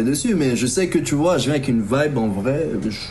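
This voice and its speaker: A man at a medium pitch, animated with lively intonation at a moderate pace, amid audible room echo and noticeable background noise. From Ivory Coast (Abidjan), then Normandy, France as a teen. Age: 30s. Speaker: rapper. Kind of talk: interview. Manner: casual, slangy, animated.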